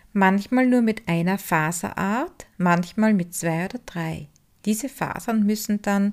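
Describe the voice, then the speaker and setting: Over a very clean recording with a silent background, a woman talks at a fairly slow pace. She has an unremarkable speaking voice at medium pitch with ordinary pitch variation. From Styria, Austria (Upper Styria). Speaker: podcast host, wool spinner and craftswoman. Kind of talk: scripted narration.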